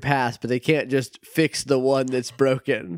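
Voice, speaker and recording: A man with a plain, everyday voice talks at a medium pitch and a moderate pace. The sound is dry and close, with no echo. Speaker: podcast co-host learning the story. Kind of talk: casual chat.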